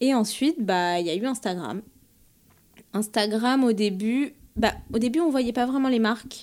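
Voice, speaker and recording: Long, frequent pauses break up a woman's fairly slow speech, pitched fairly high with ordinary pitch variation. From France, Paris. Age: 30s. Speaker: bridal fashion designer. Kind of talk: interview. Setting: designer's showroom. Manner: hesitant, many fillers.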